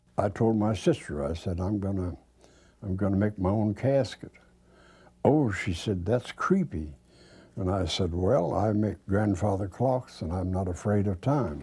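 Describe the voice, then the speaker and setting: On a very clean recording with a silent background, a man speaks fairly slowly in a somewhat breathy, dark, mellow voice with ordinary pitch variation. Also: fairly low pitch for a man. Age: 90s. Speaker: retired craftsman preparing own funeral. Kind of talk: documentary interview. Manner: halting.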